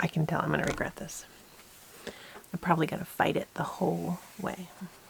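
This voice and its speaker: Whispering at a fairly quick pace, a woman speaks. Noticeable background noise runs underneath. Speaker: homesteading YouTuber. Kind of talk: crafting tutorial.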